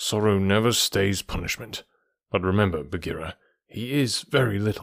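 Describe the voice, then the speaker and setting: Putting on a character voice, a man mumbles at a moderate pace in a fairly low pitch. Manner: mumbling, reluctant.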